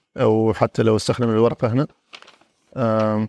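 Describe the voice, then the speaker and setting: A dry, close sound with no echo carries the man's voice. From Oman, Al-Mudaybi. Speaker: airline pilot. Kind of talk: interview.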